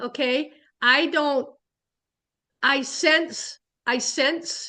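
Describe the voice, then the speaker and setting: A woman speaks in a raised, projected voice with a high pitch and a bright, sharp tone. Her intonation stays fairly even. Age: 70s. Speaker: spiritualist minister. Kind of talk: casual talk. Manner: halting.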